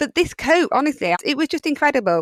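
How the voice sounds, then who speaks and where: An enthusiastic tone in a Yorkshire accent, with very wide pitch swings and a dry, close sound with no echo. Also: woman. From Yorkshire, England. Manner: chatty, enthusiastic, with frequent fillers.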